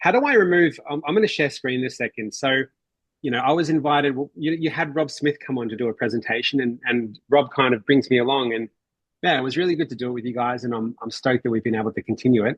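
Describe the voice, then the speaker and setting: Speaking very fast, a man with an Australian accent uses a medium pitch and ordinary pitch variation. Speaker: mortgage strategy presenter. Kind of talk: online workshop presentation.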